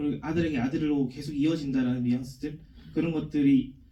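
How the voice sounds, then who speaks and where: A man's fairly high yet dark, mellow voice at a very fast pace, with audible room echo. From South Korea, Daegu. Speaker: film director. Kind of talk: Q&A answer at film screening. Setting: cinema stage with audience.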